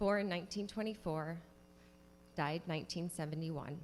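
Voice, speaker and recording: A woman speaks at a moderate pace in a fairly low pitch, with vocal fry. Her pitch variation is ordinary. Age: 30s. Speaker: state legislator. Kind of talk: legislative floor speech. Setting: state house chamber.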